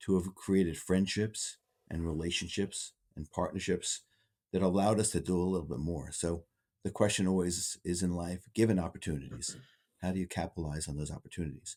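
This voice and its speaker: Very deep and low, a man's dark, mellow voice moves at a fairly quick pace with fairly even intonation on a very clean recording with a silent background. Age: 60s. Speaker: interventional radiologist. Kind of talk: podcast interview. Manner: hesitant, many fillers.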